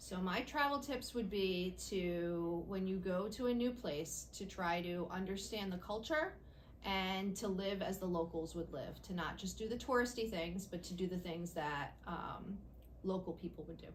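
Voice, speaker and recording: Ordinary pitch variation at a moderate pace, set amid audible room echo and noticeable background noise. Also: woman, medium pitch for a woman. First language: Italian. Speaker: school principal. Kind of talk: interview answers.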